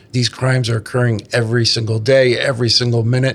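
Over noticeable background noise, a man speaks at a moderate pace and medium pitch in a monotone, flat delivery. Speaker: association vice president, co-host, former law enforcement. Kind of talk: casual chat, podcast interview.

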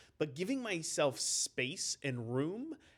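A man's voice with very wide pitch swings. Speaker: company CEO and podcast host. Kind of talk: casual chat.

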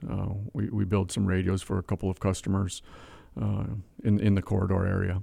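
At a moderate pace, a man with a very deep, low pitch and a dark, mellow tone talks with an Upper Midwest accent on a very clean recording with a silent background. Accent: Upper Midwest American. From Wisconsin (Whitehall, small town). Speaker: manufacturing company CEO. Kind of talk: interview.

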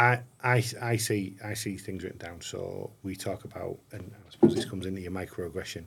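A man's fairly low, somewhat breathy voice at a fairly quick pace with hardly any pauses, ordinary pitch variation and big swings in loudness. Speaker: podcast host, police commissioner. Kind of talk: interview. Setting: on location in Middlesbrough.

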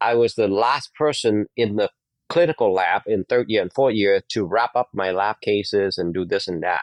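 Someone with a Vietnamese accent speaks at a moderate pace with ordinary pitch variation, the sound dry and close with no echo against a quiet background. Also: man, fairly low pitch for a man. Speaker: dentist. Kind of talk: interview. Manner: halting.

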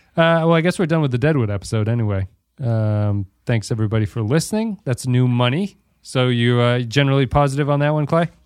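A plain, everyday voice at a fairly quick pace, with ordinary pitch variation and a quiet background. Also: man. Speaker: podcast host. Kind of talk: casual podcast chat. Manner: joking, laughs often.

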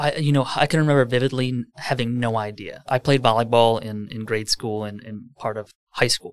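A man with an American accent and a normal speaking voice, medium in pitch, fairly quick with hardly any pauses and fairly even intonation. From Wisconsin, Lake Country area near Milwaukee. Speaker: real estate team leader. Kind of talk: casual interview.

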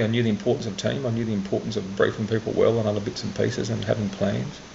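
Someone talks very fast with an Australian accent. There is noticeable background noise. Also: man. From Australia, central Queensland. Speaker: tech startup investor. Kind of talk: interview. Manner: halting.

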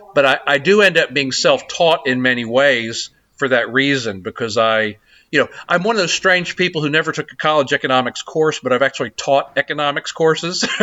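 With an American accent, a man talks at a fairly quick pace in a normal speaking voice, fairly high in pitch with ordinary pitch variation. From US South, South Carolina. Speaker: think tank president. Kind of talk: long-form interview.

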